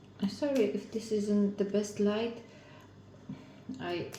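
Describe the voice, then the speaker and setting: Speaking very slowly with a non-native accent, a woman at medium pitch keeps a monotone, flat delivery, while noticeable background noise and audible room echo fill the recording. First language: not English. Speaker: craft video maker. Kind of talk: casual crafting tutorial. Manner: halting.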